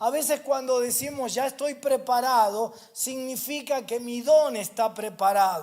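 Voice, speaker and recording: In a Rioplatense accent, a man speaks at an extremely high pitch and a fairly slow pace with hardly any pauses. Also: ordinary pitch variation. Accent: Argentine Rioplatense Spanish. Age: 60s. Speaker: pastor. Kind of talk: sermon. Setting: church. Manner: repetitive emphatic preaching.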